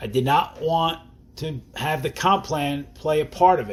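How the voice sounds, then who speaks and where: His delivery comes at a moderate speed. This man sounds somewhat breathy. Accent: New Jersey. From New Jersey. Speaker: network marketing distributor. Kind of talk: sales presentation. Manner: casual, conversational.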